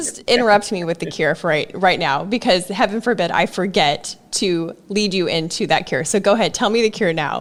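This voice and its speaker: A woman speaks in a normal speaking voice at medium pitch and a moderate pace, with hardly any pauses and ordinary pitch variation. The recording is very clean, with a silent background. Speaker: podcast host. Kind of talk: casual podcast conversation.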